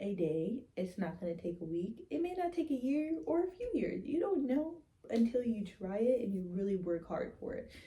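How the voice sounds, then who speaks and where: A woman with a fairly high pitch sounds somewhat breathy. Her pitch swings very widely at a moderate pace. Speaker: horror YouTuber. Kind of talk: personal vlog monologue. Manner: casual, filler-heavy.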